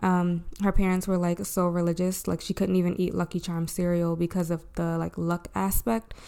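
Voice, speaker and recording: A woman talks at a moderate pace with hardly any pauses, her fairly low voice dark and mellow. Her intonation is monotone and flat, in a very clean recording with a silent background. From Maryland, Baltimore area. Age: 20s. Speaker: podcast host. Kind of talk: casual chat. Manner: casual, chatty.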